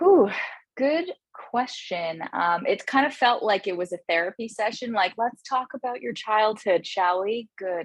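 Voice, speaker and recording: Speaking slowly-ish at a fairly slow pace, a woman with a Canadian accent uses a normal speaking voice, fairly high pitch and lively intonation. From Canada, Toronto (Scarborough). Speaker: comedian and management consultant. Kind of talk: interview.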